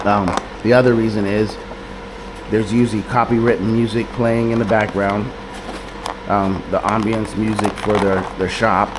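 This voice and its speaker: Amid noticeable background noise and audible room echo, a man speaks in a fairly low, monotone, flat voice. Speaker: vlogger. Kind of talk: casual vlog talk. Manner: not very loud. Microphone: camera mic held close to mouth, no microphone.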